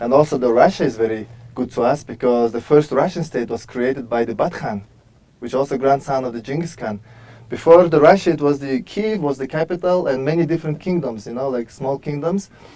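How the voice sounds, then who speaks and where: With a Mongolian accent, a man talks at a fairly quick pace in a dark, mellow tone, his fairly high pitch showing ordinary variation. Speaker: author and world traveler. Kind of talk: tv interview.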